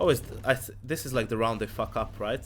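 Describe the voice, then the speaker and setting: A man talks at a fairly quick pace with vocal fry. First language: not English. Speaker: esports analyst streamer. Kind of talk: live stream match analysis with Q&A. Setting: live stream. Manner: casual, halting with self-corrections.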